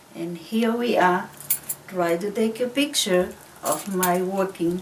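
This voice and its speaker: Against noticeable background noise, a woman at medium pitch speaks at a very slow pace with ordinary pitch variation. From Tonga. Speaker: craftswoman. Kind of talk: tutorial.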